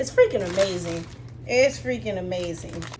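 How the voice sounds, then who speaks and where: A woman speaks over noticeable background noise. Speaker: cooking vlogger. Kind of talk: cooking tutorial. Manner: casual, chatty.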